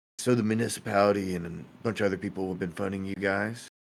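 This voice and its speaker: A put-on character voice from a man, raspy and fairly low-pitched, with monotone, flat intonation and a very fast pace. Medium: actual play. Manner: casual, inquisitive.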